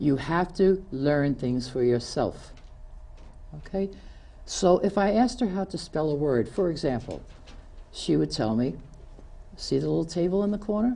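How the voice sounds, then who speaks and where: With a New York accent, a woman's very deep, low voice carries vocal fry and a dark, mellow tone, moving at a fairly slow pace through very wide pitch swings. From New York City (Queens). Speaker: community TV show host. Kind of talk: prepared speech. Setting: studio.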